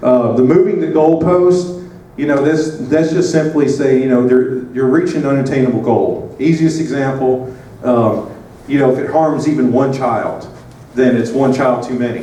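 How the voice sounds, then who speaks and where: Over noticeable background noise and audible room echo, a man with a Southern US accent speaks at a moderate pace with a medium pitch and ordinary pitch variation. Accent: Southern American. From US South. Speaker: advocate and presenter. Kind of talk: conference presentation. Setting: conference room with audience. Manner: casual, hesitant with many fillers.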